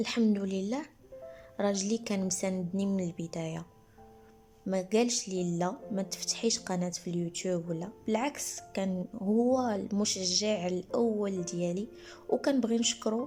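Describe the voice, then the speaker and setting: Against music in the background, the speech moves at a fairly slow pace with ordinary pitch variation. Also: woman, medium pitch for a woman. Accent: Moroccan. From Morocco. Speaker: teacher and content creator. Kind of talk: personal podcast storytelling.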